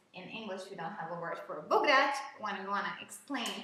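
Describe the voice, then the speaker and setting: A woman with an animated tone amid audible room echo. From Hungary. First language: Hungarian. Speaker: English teacher. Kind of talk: live online lesson.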